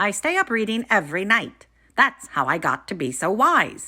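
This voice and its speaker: A woman performs a put-on character voice at a fairly high pitch, with very wide pitch swings at a moderate pace. The recording is very clean, with a silent background. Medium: read story. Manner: calm, knowing.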